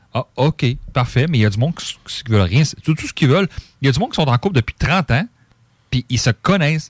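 With a fairly high pitch and lively intonation, a man talks at a very fast pace between long, frequent pauses, somewhat breathy, in a dry, close sound with no echo on a very clean recording with a silent background. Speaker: radio co-host and board operator. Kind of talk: casual chat.

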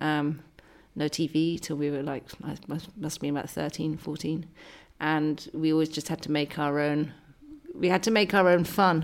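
A woman speaks in a very deep, low pitch. Her pace is moderate and her intonation fairly even. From Scotland. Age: 40s. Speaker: writer and journalist. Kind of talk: casual interview chat. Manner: hesitant, many fillers.

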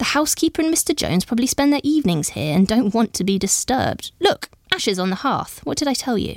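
A woman's put-on character voice, fairly high-pitched and fairly quick, with big pitch swings and vocal fry

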